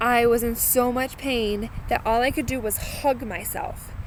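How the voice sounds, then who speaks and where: A woman with an American accent speaks at a high pitch against noticeable background noise. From Massachusetts. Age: 30s. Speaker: vlogger sharing cancer experience. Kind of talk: personal video blog. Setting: outdoors. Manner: casual, with filler words.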